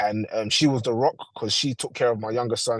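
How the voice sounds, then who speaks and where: A man with a London accent, medium pitch and a fairly quick pace. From London, England. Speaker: father sharing experience. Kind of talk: testimony.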